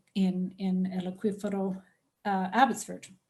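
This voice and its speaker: A somewhat breathy woman's voice with a non-native accent. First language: English (speaking Spanish). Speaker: professor. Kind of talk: lecture. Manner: halting.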